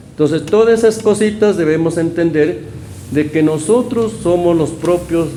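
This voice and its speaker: Over noticeable background noise, a man with a fairly high pitch talks with lively intonation. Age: 60s. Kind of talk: community interview. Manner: halting.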